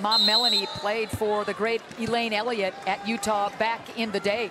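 Over noticeable background noise, a man with a high pitch speaks in a raised, projected voice at a moderate pace, his intonation monotone and flat. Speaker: play-by-play commentator. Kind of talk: live sports commentary. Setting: arena broadcast.

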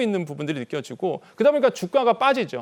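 A man's high voice at a very fast pace with very wide pitch swings. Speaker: economic commentator. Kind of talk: news interview.

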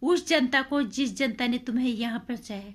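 A woman speaks at a very slow pace in a high pitch. The background is quiet. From India. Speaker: video blogger / commentator; vlogger. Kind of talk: opinion monologue. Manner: animated. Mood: indignant, scolding. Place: home room. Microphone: phone near.

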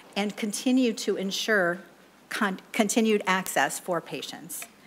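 Over light background noise, a woman with an American accent talks with ordinary pitch variation. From US Midwest. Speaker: state agency director. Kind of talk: legislative testimony. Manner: formal. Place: hall. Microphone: podium.

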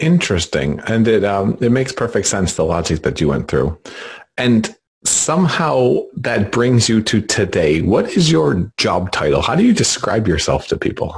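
His pitch sits in the middle range yet swings very widely, while this man's loudness stays very even and his voice carries vocal fry. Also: moderate pace. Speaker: podcast interviewer. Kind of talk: interview conversation.

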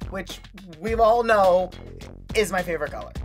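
Faint background music behind a man speaking at a moderate pace. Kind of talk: confessional commentary. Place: booth.

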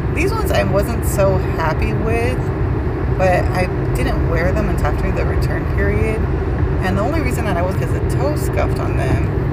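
Moderate pace under loud background noise. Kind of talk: casual vlog chat. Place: car. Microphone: phone near.

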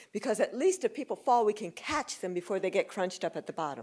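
The speech runs at a fairly quick pace against a quiet background. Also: woman. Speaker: guest lecturer. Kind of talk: lecture. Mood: warm, animated. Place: hall. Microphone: podium.

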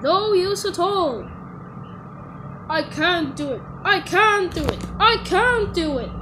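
A put-on character voice speaks at a fairly slow pace. Long, frequent pauses break it up, and there is clear background noise. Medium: voice reel. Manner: pompous, boastful.

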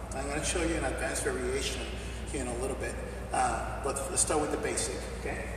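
Through strong room echo and noticeable background noise, a man speaks at a fairly quick pace. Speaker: fitness trainer. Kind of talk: tutorial. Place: gym. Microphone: camera far.

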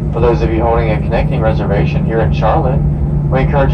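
Very fast male speech beneath loud background noise. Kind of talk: cabin announcement. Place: plane. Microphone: pa.

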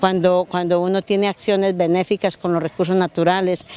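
A woman is speaking. The sound is dry, with no echo. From Antioquia, Colombia. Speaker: rural community environmental leader. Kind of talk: interview. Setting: outdoors by a river. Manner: halting, many repetitions. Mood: warm, passionate. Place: waterside. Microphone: handheld.

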